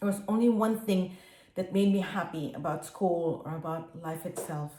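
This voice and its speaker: A woman speaks at a moderate pace in a fairly low, somewhat breathy voice with a dark, mellow tone. Her intonation stays fairly even. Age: 60s. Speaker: dyslexia advocate and public speaker. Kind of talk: prepared personal testimony. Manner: earnest, addresses the audience directly.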